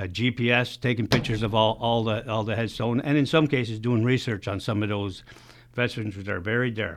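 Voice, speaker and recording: A man's plain, everyday voice at medium pitch, with fairly even intonation and a fairly quick pace. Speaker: veterans legion secretary. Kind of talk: radio interview.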